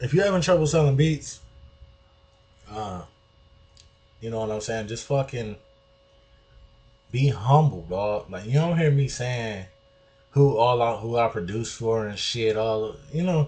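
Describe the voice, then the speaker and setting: A man with an American accent talks at a fairly slow pace and a medium pitch, his intonation lively. He leaves long, frequent pauses. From US Midwest, Detroit. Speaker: music producer. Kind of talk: tutorial. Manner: casual, street slang, not polished.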